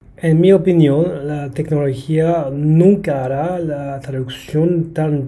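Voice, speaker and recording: A man speaks in a fairly high pitch at a very slow pace. His intonation stays fairly even. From Brisbane, Australia. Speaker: translator and language teacher. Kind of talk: interview.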